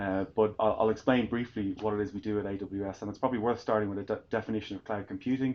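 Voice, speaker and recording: A man in an Irish accent rushes along at a very fast pace with hardly any pauses, his fairly low voice monotone with flat intonation. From Ireland. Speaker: tech sales executive. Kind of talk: fireside chat interview. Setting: live event with audience. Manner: hesitant, many fillers and repetitions.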